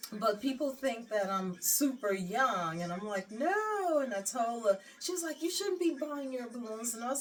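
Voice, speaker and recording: Over noticeable background noise, a woman with a fairly high pitch talks at a moderate pace in an animated tone, with very wide pitch swings and hardly any pauses. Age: 60s. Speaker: lifestyle vlogger. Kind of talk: casual chat.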